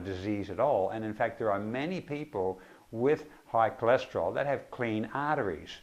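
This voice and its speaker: A man talks at a fairly quick pace with lively intonation. His pitch sits in the medium range. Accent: Australian. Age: 60s. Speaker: naturopath and nutritionist. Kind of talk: informal talk to camera. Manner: hesitant with many fillers.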